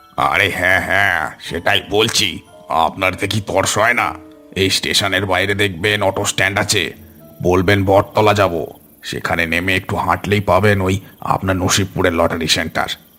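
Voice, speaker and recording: Over faint background music, a man puts on a cartoonish character voice, very deep and low, with fairly even intonation. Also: moderate pace. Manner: chuckling, ingratiating.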